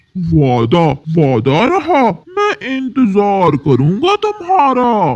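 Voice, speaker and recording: A man does a cartoonish character voice at a high pitch and a very slow pace. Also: hardly any pauses. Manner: sly, menacing.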